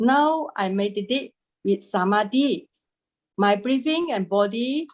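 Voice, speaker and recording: Lively intonation carries speech delivered at a very slow pace. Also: woman. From Malaysia. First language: not English. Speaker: meditation student. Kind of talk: question to teacher. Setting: video call. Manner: halting.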